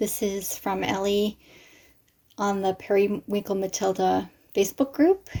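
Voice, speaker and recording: A woman with a medium-pitched voice speaks at a fairly slow pace, leaving long, frequent pauses. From Canada. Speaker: crafter unboxing happy mail. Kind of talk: casual unboxing vlog. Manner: animated, exclamatory.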